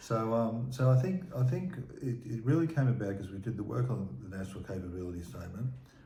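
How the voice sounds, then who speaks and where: Words come at a very fast pace amid audible room echo. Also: man. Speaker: former emergency management official. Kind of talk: interview conversation. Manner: repetitive halting delivery.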